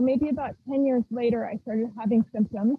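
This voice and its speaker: High-pitched female speech, moderately paced, the intonation fairly even. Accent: American. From rural Idaho, US. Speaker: violinist. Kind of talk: interview.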